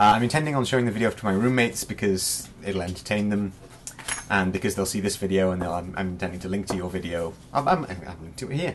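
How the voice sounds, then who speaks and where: Against noticeable background noise, a man with a fairly low pitch talks at a very fast pace with ordinary pitch variation. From Wales. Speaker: vlogger. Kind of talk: casual vlog talk to camera. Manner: rambling, casual.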